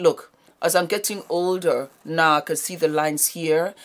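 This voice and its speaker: The speaker is a woman with a fairly low pitch. She talks at a moderate pace. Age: 50s. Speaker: beauty YouTuber. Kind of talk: product unboxing. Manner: animated. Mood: upbeat, chatty.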